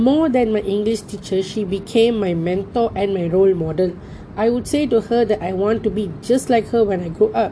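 A woman speaks at a moderate pace in a Tamil accent, her medium pitch showing ordinary variation over noticeable background noise. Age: 20s. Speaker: university student. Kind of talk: personal storytelling assignment.

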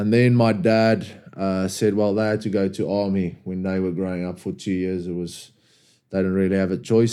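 With a South African accent, a man speaks at a moderate pace in a fairly low pitch, his dark, mellow tone and monotone, flat intonation captured in a very clean recording with a silent background. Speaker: rugby player and club captain. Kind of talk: casual podcast interview.

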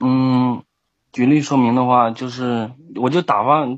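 A man's medium-pitched voice with a Shandong accent, fairly slow and with fairly even intonation. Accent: Shandong dialect, weak Mandarin. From southern Shandong, near Henan and Anhui. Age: 20s. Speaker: caller. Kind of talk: call-in advice chat. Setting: online voice call.

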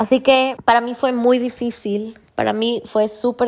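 A woman speaks at a fairly slow pace, her fairly high voice animated in tone. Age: 30s. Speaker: podcast host. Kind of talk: personal monologue. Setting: at the beach. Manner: casual, animated.

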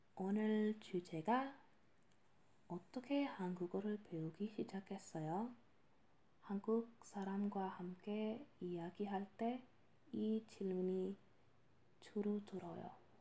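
A woman at a medium pitch with ordinary pitch variation, a very slow pace, long and frequent pauses, and noticeable background noise. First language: not Korean (speaking Korean). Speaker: podcast host and language learner. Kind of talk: casual monologue. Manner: halting.

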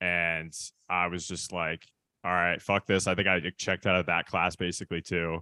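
With an American accent, a man speaks in a very deep, low voice with a bright, sharp tone, flat monotone intonation and a moderate pace, in a dry, close sound with no echo on a very clean recording with a silent background. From US Midwest, Michigan. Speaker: DJ and music producer. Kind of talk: casual interview chat. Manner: casual, many fillers.

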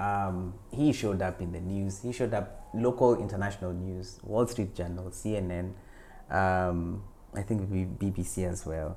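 A man speaks in a very deep, low voice with a dark, mellow tone and fairly even intonation. Room echo is audible. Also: fairly slow pace. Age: 40s. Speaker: actor and writer. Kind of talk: interview.

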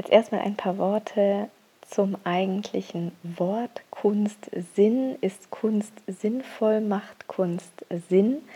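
A woman at a very slow pace, medium in pitch with fairly even intonation, amid noticeable background noise. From Bavaria, Augsburg. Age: 30s. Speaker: illustrator and graphic recorder. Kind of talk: prepared monologue. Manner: hesitant fillers.

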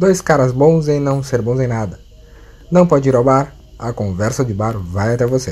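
An unremarkable speaking voice with lively intonation goes along at a moderate pace. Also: man, medium pitch for a man. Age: 30s. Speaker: podcast co-host. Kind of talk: casual chat. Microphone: connection cutting out.

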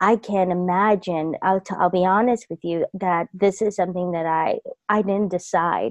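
A woman with a medium pitch and a plain, everyday voice speaks in an American accent with fairly even intonation. The background is quiet and the sound dry and close, with no echo. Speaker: intuitive life coach. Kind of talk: personal story told in an interview.

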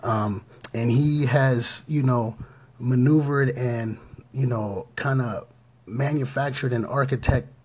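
The speaker is a man with an American accent. He talks at a fairly slow pace. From Pittsburgh area, Pennsylvania. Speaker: podcast host. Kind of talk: motivational podcast talk. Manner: halting, many fillers.

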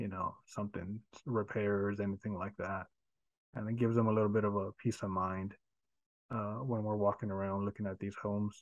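This man's voice sits fairly low. His intonation stays monotone and flat. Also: fairly quick pace. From Houston, Texas. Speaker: real estate agent and investor. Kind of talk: casual interview.

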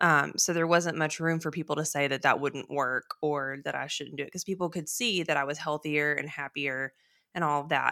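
A woman with a Texan accent speaks in a very deep, low pitch with a bright, sharp tone and fairly even intonation, recorded very cleanly against a silent background with a dry, close sound and no echo. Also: moderate pace. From Texas. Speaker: podcast co-host, weight loss surgery patient. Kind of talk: casual chat. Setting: in-person studio recording, same room.

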